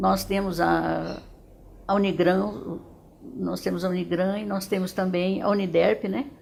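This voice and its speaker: Delivered at a fairly slow pace, the speech carries audible room echo. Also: woman. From Dourados, Mato Grosso do Sul, Brazil. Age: 70s. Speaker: retired educator. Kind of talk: testimony. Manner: halting, with frequent repetitions.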